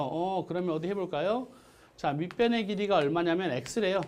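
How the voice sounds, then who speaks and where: In a room with audible echo, a man talks fairly quickly at a high pitch with ordinary pitch variation. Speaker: math teacher. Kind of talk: lecture. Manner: fast.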